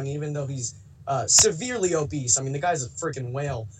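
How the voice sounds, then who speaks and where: There is noticeable background noise behind this man as he talks. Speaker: caller. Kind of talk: call-in discussion. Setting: phone call. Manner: halting.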